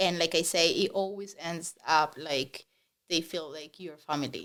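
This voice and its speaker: A woman speaks with a strong Spanish accent at a moderate pace. Her pitch is fairly low and her intonation fairly even. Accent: heavy Spanish. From Spanish-speaking country. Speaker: real estate agent. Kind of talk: podcast interview.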